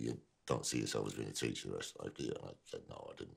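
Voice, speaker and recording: A man is speaking. His voice has vocal fry. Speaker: actor. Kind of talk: interview answer.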